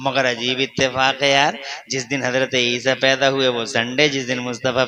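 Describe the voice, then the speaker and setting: Medium-pitched male voice over noticeable background noise. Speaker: Islamic preacher giving a sermon. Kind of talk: religious sermon to a live gathering. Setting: public address at a large religious gathering. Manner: fervent, rhetorical, speaking to the crowd.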